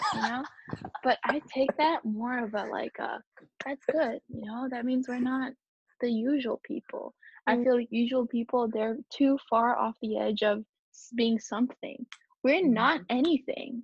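A woman speaks loudly and fairly slowly in a high voice, keeping her intonation fairly even. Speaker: podcast co-host. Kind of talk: casual chat. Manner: loud, outgoing.

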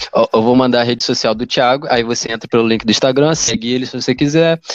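A man with an unremarkable speaking voice, pitched in the middle range, with ordinary pitch variation. The sound is dry and close, with no echo. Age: 20s. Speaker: podcast host. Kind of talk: casual chat. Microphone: poor internet connection.

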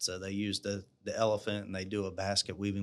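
A man with a South Carolina accent, fairly low in pitch, in a monotone, flat intonation on a very clean recording with a silent background. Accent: Southern US (South Carolina). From South Carolina, US South. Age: 40s. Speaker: small business owner. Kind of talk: interview.

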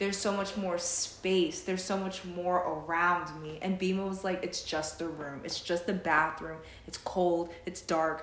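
Noticeable background noise accompanies a woman's voice. She speaks fairly slowly with monotone, flat intonation. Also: hardly any pauses. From Jamaican heritage. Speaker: podcast co-host. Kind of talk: casual chat.

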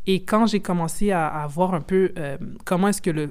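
In an unremarkable speaking voice, a woman speaks at a moderate pace with fairly low pitch and ordinary pitch variation. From Quebec. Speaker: football journalist and content creator. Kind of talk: casual interview.

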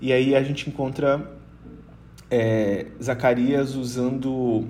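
A man's dark, mellow, somewhat breathy voice in flat, monotone intonation, with audible room echo. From Brazil, Rondônia. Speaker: missionary and Bible study facilitator. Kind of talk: Bible teaching in casual podcast chat. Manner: hesitant, many filler sounds.

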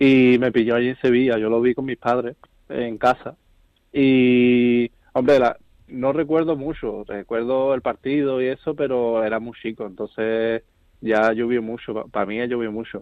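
A plain, everyday voice: a man of medium pitch, fairly slow pace, fairly even intonation. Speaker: football supporters' club president. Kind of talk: interview.

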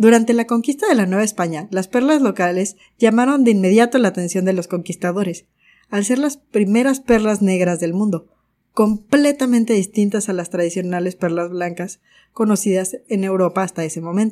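A woman's voice of medium pitch, dark and mellow in tone, with ordinary pitch variation. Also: moderate pace, very clean recording, silent background. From Mexico. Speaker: podcast host, gemologist. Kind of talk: scripted narration.

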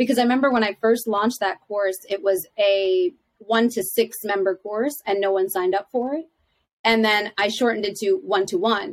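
With an American accent, a woman has an unremarkable speaking voice, fairly high in pitch with ordinary pitch variation. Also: moderate pace. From Philadelphia, US. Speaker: life coach and teacher. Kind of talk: interview, conversational.

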